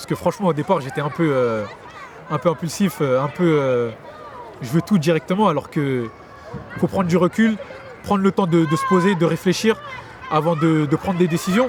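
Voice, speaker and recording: A high-pitched man with lively intonation and long, frequent pauses, over noticeable background noise. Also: moderate pace. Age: 20s. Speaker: young local resident interviewed. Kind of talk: street interview.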